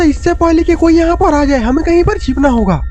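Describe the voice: A cartoonish character voice moves at a fairly quick pace over clear music in the background.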